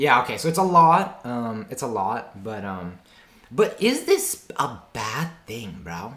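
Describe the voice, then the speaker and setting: A man with a bright, sharp tone talks at a very slow pace, his pitch swinging very widely and his loudness rising and falling sharply. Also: medium pitch for a man. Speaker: streamer reacting to videos. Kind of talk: reaction commentary. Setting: streaming with face cam. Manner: stammering at times; casual, slangy.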